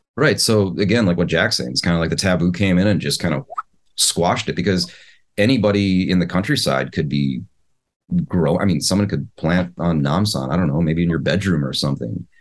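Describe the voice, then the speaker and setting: A man with a Midwestern American accent, very deep and low in pitch, with vocal fry, ordinary pitch variation, very even loudness and a fairly quick pace. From US Midwest. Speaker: podcast co-host, communications teacher and startup founder. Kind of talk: casual chat.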